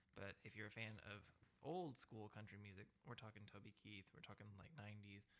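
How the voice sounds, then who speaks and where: In an ordinary speaking voice, a man talks at a moderate pace and a fairly low pitch, with ordinary pitch variation. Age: 20s. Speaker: podcast host. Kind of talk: casual chat.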